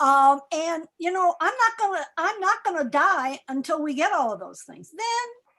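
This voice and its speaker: A woman with an extremely high pitch uses a raised, projected voice and a bright, sharp tone. She speaks at a fairly slow pace, with very wide pitch swings and big swings in loudness. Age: 70s. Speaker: activist speaker. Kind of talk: panel discussion Q&A. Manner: halting, repetitive.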